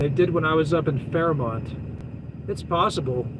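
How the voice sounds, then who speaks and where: Here a man speaks at a fairly high pitch. Noticeable background noise runs behind him. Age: 40s. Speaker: truck driver and live-stream host. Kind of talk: live stream chat reading viewer comments. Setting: live stream video at home. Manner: casual, rambling with many fillers.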